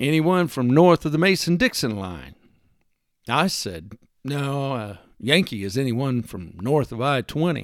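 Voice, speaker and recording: In a Texan accent, a man talks at a fairly slow pace in a fairly high voice with lively intonation, on a very clean recording with a silent background. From US Texas. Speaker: podcast host. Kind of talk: solo monologue, personal essay. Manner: folksy, humorous, earnest.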